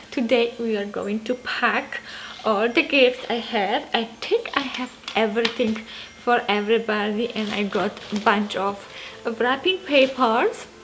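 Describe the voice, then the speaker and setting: With a Polish accent, a woman speaks at a fairly slow pace in a fairly high pitch with ordinary pitch variation while music plays in the background. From Poland. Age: 30s. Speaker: lifestyle and motherhood vlogger. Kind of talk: casual Q&A vlog.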